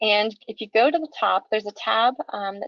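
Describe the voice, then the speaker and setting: Here a woman talks. Her intonation moves in a lively way. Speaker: nonprofit training presenter. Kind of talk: webinar lecture. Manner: fast.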